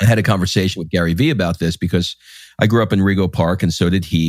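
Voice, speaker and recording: A man with an American accent and a very deep, low pitch speaks with ordinary pitch variation, dry and close with no echo, on a very clean recording with a silent background. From New York City (Queens). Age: 50s. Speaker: podcast host. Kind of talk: interview.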